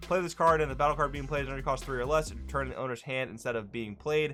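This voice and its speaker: A man speaks with music in the background. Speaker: card game content creator. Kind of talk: card review commentary. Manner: fast; casual.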